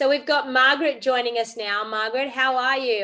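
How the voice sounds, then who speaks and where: With an Australian accent, a woman speaks in a bright, sharp tone at a moderate pace, her pitch varying in an ordinary way. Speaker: craft demonstrator and live stream host. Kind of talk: casual chat. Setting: video call. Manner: animated.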